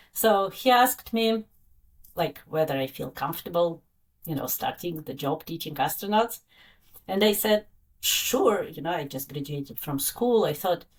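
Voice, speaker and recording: A woman with a Russian accent, fairly low in pitch, with lively intonation, big swings in loudness and a moderate pace. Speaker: science educator, former astronaut instructor. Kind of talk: interview. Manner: halting, many fillers.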